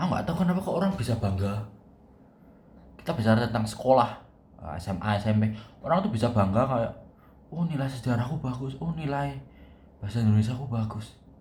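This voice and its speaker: Speaking very fast with lively intonation and long, frequent pauses, a man with a strong Javanese accent uses a medium pitch and a somewhat breathy sound, and the room echo is audible. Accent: strong Javanese (medok). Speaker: university student vlogger. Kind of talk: casual vlog monologue. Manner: casual, thinking aloud with hesitations.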